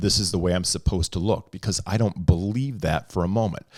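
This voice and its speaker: The recording is very clean against a silent background. It carries a plain, everyday voice moving at a fairly quick pace with ordinary pitch variation. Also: man. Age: 50s. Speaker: podcast co-host. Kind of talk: casual chat. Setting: studio.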